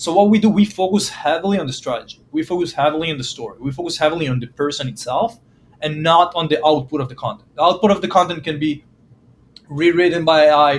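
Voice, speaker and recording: This man talks very fast with a non-native accent, his high voice showing ordinary pitch variation and big swings in loudness. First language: not English. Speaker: startup marketing founder. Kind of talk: podcast interview. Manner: hesitant, many fillers.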